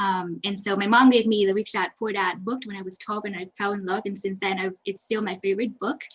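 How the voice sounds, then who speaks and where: This woman speaks at a medium pitch with a Vietnamese accent. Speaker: accountant. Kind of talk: webinar presentation. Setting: online webinar. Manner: fast.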